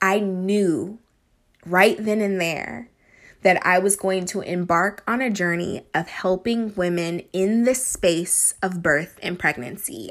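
A woman with a Californian accent speaks at a medium pitch and a very slow pace. Her pitch varies in an ordinary way, and the recording is very clean with a silent background. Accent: Californian American English. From Northern California. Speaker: podcast host and doula. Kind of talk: solo podcast monologue.

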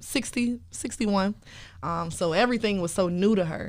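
Her speech proceeds at a moderate speed. The woman's pitch shifts in an ordinary way. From Chicago, South Side. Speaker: radio show host and PR professional. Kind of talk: casual interview.

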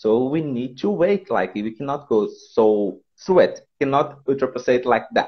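Man with a Portuguese accent, medium pitch, lively intonation and a fairly slow pace. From Brazil, Pernambuco. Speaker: English teacher. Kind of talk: casual interview. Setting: phone call. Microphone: bad connection, cracking.

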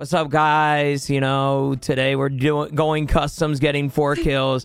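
Doing a put-on character voice, a man speaks fairly slowly in a raspy, fairly high pitch with monotone, flat intonation, over faint music in the background.

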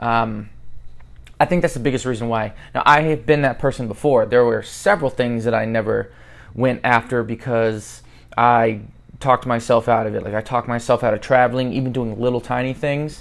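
A man speaks in a plain, everyday voice with an American accent, pitched at a medium level. His pace is fairly quick and his intonation fairly even. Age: 30s. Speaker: podcast host. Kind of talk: motivational monologue.

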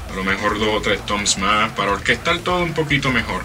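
At a moderate pace, a man with a fairly low pitch and ordinary pitch variation speaks amid noticeable background noise and audible room echo. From Puerto Rico, Trujillo Alto. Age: 30s. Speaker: metal drummer. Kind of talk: interview.

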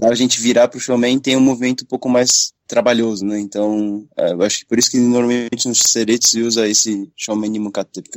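A normal speaking voice from a man, medium in pitch, fairly quick and with fairly even intonation. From Brazil, son of Japanese parents. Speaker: kendo practitioner, podcast co-host. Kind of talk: casual chat.

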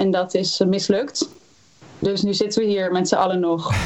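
A woman talks at a moderate pace and a medium pitch. She has an ordinary speaking voice. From Netherlands, Utrecht area (Houten). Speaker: singer-songwriter. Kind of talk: interview.

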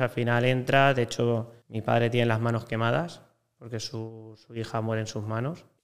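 A man at a medium pitch and moderate pace, monotone and flat in intonation. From Spain, Valencia. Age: 20s. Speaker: hotel sales broker. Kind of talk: casual interview chat.

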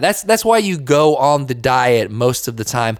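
In a normal speaking voice, a man talks at a moderate pace with lively intonation. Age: 20s. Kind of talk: devotional talk. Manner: casual.

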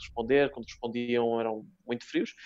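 The man talks at a fairly quick pace with a medium pitch. His intonation is monotone and flat. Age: 30s. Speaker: comedian. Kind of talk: casual chat.

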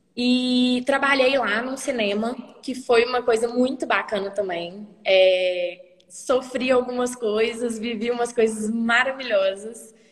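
Over noticeable background noise, a woman with a high-pitched voice speaks very slowly and with fairly even intonation. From Brazil, Minas Gerais (small town). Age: 20s. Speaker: economics student and traveler. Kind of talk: casual interview.

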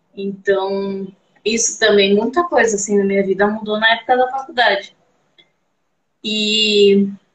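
Speaking at a fairly slow pace with long, frequent pauses, a woman holds a very even loudness at medium pitch with ordinary pitch variation. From Brazil, Campinas, São Paulo state. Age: 30s. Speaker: belly dancer. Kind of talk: casual interview. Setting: live stream.

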